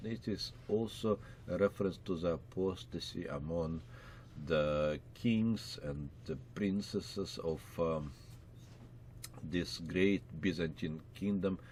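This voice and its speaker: A man with a very deep, low pitch and ordinary pitch variation speaks at a very slow pace in audible room echo. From Russia. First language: Russian. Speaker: pastor and Bible teacher. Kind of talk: Bible lecture. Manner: many filler words, hesitant.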